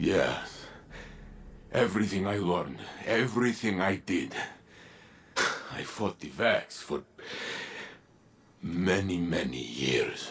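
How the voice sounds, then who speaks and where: Delivered in a put-on character voice, the speech moves at a fairly slow pace with lively intonation and long, frequent pauses. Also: man, fairly low pitch for a man. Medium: video game.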